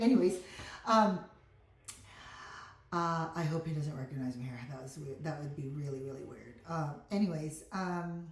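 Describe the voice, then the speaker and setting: A woman at very deep, low pitch with ordinary pitch variation and big swings in loudness, moderate pace with long, frequent pauses, and audible room echo. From Philippines (Mindanao), in US about 40 years. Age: 50s. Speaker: vlogger. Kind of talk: casual vlog talk. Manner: halting, many fillers.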